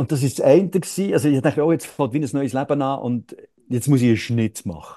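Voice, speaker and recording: A man speaks at a fairly quick pace with a fairly high-pitched voice. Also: ordinary pitch variation. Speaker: actor and satirist. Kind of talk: interview conversation. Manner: halting, many fillers.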